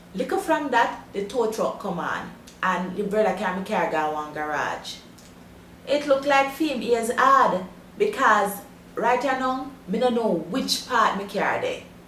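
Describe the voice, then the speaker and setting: A woman's fairly high voice in a Jamaican accent, with very wide pitch swings. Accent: broad Jamaican patois. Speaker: language teacher.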